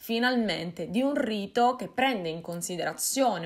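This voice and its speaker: The background stays quiet. A woman's speech moves at a fairly slow pace. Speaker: folklore vlogger. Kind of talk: casual vlog chat. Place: home room.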